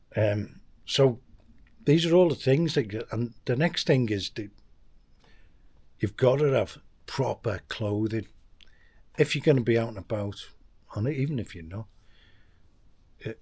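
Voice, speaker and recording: Somewhat breathy male speech at medium pitch and a fairly slow pace, with long, frequent pauses and big swings in loudness. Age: 60s. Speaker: expat vlogger. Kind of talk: casual vlog monologue. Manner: halting, many restarts.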